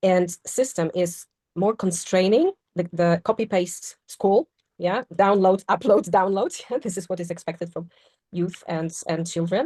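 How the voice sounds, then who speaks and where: In a Polish accent, a woman speaks at a fairly slow pace and medium pitch, her pitch varying in an ordinary way. Her tone is dark and mellow, and the sound is dry and close with no echo. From Poland. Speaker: podcast panelist. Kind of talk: casual discussion.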